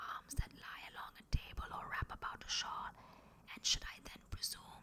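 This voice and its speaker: A woman is whispering. Her pace is moderate. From India. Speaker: actress. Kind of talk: poetry reading. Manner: whispered.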